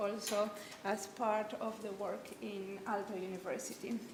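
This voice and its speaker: A woman speaks with a Spanish accent. The room echo is audible, and there is noticeable background noise. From Argentina. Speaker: interaction designer and researcher. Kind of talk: seminar talk. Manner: halting, many fillers and restarts.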